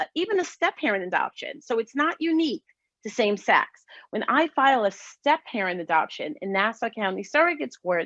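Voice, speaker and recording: A woman's raised, projected voice, bright and sharp in tone, with very wide pitch swings, a dry, close sound with no echo, and a quiet background. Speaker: lawyer. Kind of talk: panel presentation.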